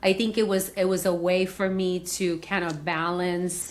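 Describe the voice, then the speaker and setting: In a Spanish accent, a woman speaks fairly slowly at medium pitch. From Venezuela. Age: 50s. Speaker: executive coach. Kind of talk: interview conversation.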